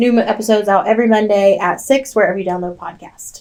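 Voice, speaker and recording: In a Southern US accent, a woman speaks with a fairly high voice. Her pitch varies in an ordinary way. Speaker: true crime podcast co-host. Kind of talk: casual storytelling chat.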